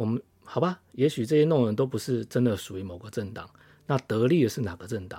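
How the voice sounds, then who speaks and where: A dark, mellow voice moves at a fairly quick pace with ordinary pitch variation in a very clean recording with a silent background. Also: man. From Taiwan. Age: middle-aged. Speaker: podcast host, political commentator. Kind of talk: solo political commentary. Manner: frequent hesitations (uh, repeated words).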